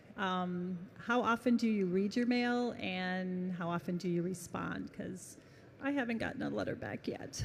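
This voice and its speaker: Her voice somewhat breathy and medium in pitch, a woman speaks at a moderate pace with ordinary pitch variation, and audible room echo surrounds her. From North Carolina. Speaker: fan asking a question. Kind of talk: audience question. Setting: stage with audience.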